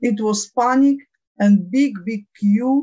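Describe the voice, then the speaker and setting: A woman speaks very slowly with lively intonation. Her voice is somewhat breathy. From Ukraine. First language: Ukrainian or Russian. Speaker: diabetes patient advocate. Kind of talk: interview. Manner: halting.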